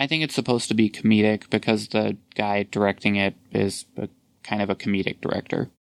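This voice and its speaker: A man with a normal speaking voice, fairly low-pitched, talks at a fairly quick pace with fairly even intonation. The sound is dry and close, with no echo. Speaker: podcast host. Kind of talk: casual chat.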